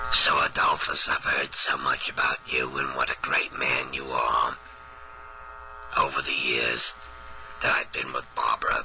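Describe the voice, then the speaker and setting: Raspy, hoarse and strained, a man's put-on character voice moves at a moderate pace over clear background noise. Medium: solo performance. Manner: rambling, earnest, confused.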